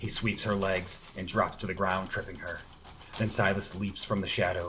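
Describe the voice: The voice does plain reading aloud. Nothing more than that is heard.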